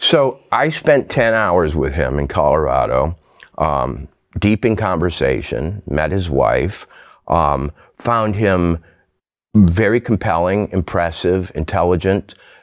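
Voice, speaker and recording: A man's very deep, low voice with vocal fry, lively intonation and a very slow pace. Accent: American. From rural Minnesota. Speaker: novelist and essayist. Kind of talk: casual chat. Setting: studio. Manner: halting.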